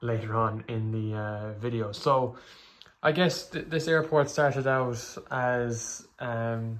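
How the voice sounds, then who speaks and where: With an Irish accent, a man talks at a fairly slow pace, his pitch medium and its variation ordinary. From Ireland. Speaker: hobbyist YouTuber. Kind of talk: casual show-and-tell video. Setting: bedroom. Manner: hesitant, many fillers.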